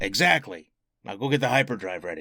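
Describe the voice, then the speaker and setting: A raspy put-on character voice from a man, medium in pitch and fairly quick in pace. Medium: audio drama. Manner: sardonic, gruff.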